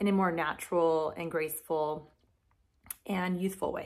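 A woman talks at a moderate pace. The recording is very clean, with a silent background.

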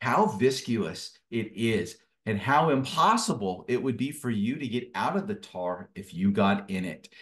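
Set against a quiet background, a man speaks at a fairly slow pace with lively intonation. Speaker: guest. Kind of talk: interview answer. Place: home room. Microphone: video call.

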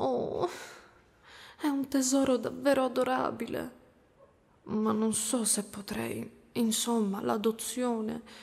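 This woman talks at a very slow pace with long, frequent pauses. Her fairly high voice shows ordinary pitch variation. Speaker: ASMR roleplay creator. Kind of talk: ASMR roleplay, whispered, soothing monster-mother character. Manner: soft, whispery, tender and coaxing, slow and lulling. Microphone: studio mic.

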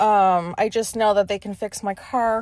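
A woman is heard against a quiet background, with a dry sound and no echo. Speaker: podcast host. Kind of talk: casual ranty podcast monologue. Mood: annoyed, venting. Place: car.

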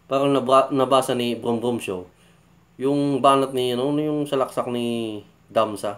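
A man's medium-pitched voice at a fairly slow pace, with fairly even intonation. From Philippines. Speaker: YouTube reaction vlogger. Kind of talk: casual reaction commentary. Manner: halting, many fillers. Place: home room. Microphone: phone near.

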